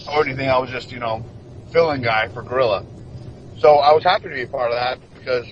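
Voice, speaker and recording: This is a man speaking at a medium pitch. Background noise is noticeable. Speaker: professional wrestler. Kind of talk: interview. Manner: stuttering.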